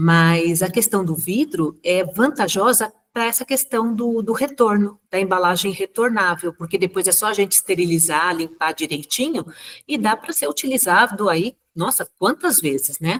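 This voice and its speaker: This is a normal speaking voice from a woman at medium pitch. She talks at a moderate pace with lively intonation. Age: 60s. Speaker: natural cosmetics maker presenting a talk. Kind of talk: casual chat.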